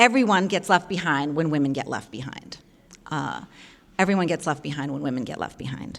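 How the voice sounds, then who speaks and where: Speaking at a fairly quick pace, a woman with very deep, low pitch and vocal fry sounds animated, her intonation lively. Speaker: journalism professor and podcast co-host. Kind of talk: public lecture. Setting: luncheon forum with live audience. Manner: fast.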